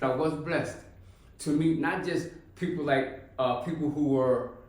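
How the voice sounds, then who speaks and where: There is audible room echo and noticeable background noise. Through it, a man speaks with a fairly high pitch. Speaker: formerly incarcerated reentry case manager. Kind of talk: personal testimony.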